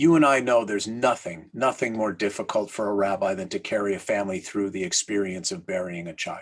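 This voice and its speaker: A man with an ordinary speaking voice, a fairly low pitch and ordinary pitch variation, at a fairly quick pace with hardly any pauses. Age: 60s. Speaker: rabbi and author. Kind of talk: interview conversation.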